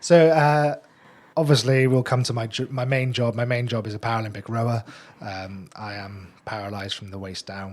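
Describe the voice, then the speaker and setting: A man's plain, everyday voice at medium pitch and moderate pace, with ordinary pitch variation and big swings in loudness. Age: young. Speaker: Paralympic rower. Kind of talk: radio interview. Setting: radio studio.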